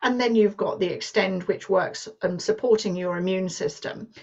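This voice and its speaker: At a moderate pace, a woman speaks with a British accent and ordinary pitch variation. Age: 60s. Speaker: business presenter. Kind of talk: sales pitch. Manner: halting.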